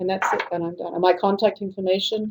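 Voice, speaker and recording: Speaking with a British accent, a woman has a dark, mellow tone at medium pitch. Her intonation stays fairly even. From Britain. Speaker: conference presenter. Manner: fast talker.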